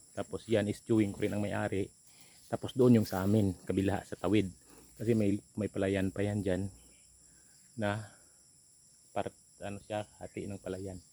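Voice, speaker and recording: A man's fairly low, dark, mellow voice in monotone, flat intonation, at a moderate pace with long, frequent pauses. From Philippines, rural province. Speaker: vlogger. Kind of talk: casual vlog narration.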